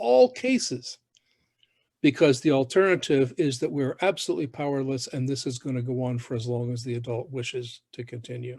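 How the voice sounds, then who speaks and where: An unremarkable speaking voice from a man, fairly high in pitch, with lively intonation at a moderate pace, dry and close with no echo. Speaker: host. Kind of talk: conversational commentary. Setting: video call.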